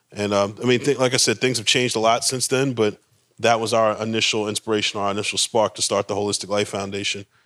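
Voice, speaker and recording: A man with an American accent, medium pitch, monotone, flat intonation and a very fast pace, in a very clean recording with a silent background. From Baltimore, US. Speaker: co-founder of a mindfulness nonprofit. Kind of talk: casual conversational talk.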